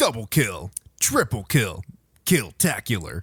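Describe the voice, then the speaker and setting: A man's put-on character voice at a medium pitch, with very wide pitch swings and a fairly slow pace. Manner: booming, hyped.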